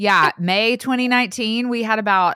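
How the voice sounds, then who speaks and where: A woman's bright, sharp voice with a Southern US accent, moderate pace and ordinary pitch variation, dry and close with no echo. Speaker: podcaster, author and speaker. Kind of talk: casual interview chat. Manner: animated.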